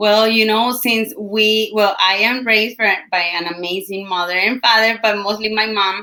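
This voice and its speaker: A woman in a Colombian accent, fairly high-pitched and monotone with flat intonation, at a moderate pace with hardly any pauses. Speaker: entrepreneur and team leader. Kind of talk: interview. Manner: halting.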